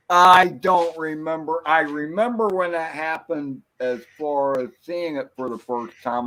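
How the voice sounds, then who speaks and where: With a bright, sharp tone and lively intonation, a man speaks at a moderate pace. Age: 60s. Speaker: livestream panelist. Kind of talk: casual chat.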